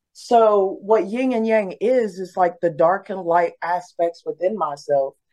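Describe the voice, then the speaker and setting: A woman with a plain, everyday voice speaks in an American accent. Her pace is moderate, and her pitch variation is ordinary. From US, West Virginia (Beckley). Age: 30s. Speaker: recording artist. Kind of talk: casual interview.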